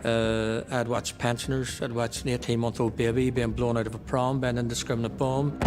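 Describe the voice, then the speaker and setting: Fairly quick, monotone speech from a medium-pitched man with a Belfast accent, flat in intonation, over noticeable background noise. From Northern Ireland, Belfast. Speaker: former paramilitary. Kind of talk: documentary interview.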